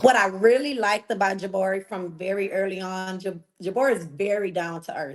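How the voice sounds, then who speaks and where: With a Texan accent, the speaker talks at a fairly quick pace with hardly any pauses, ordinary pitch variation and big swings in loudness. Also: woman, medium pitch for a woman. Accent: Texas country. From Texas, Galveston. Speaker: reality TV contestant. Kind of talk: interview.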